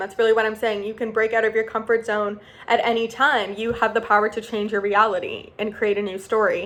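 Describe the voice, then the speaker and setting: A woman at a fairly high pitch in a normal speaking voice, at a fairly quick pace. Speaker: self-development vlogger. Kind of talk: casual motivational talk to camera.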